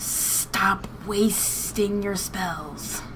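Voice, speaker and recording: A quiet, female-sounding put-on character voice of medium pitch. Loud background noise runs underneath. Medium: actual play. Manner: quiet, blunt.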